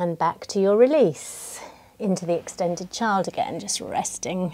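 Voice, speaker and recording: A woman with a normal speaking voice talks at a moderate pace and medium pitch, using ordinary pitch variation. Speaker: yoga teacher. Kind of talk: guided yoga class. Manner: calm, soothing. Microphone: close to mic, sounds loud.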